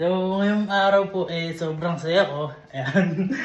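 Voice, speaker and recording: Noticeable background noise runs beneath this man's voice. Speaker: vlogger. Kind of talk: casual vlog talk. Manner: animated.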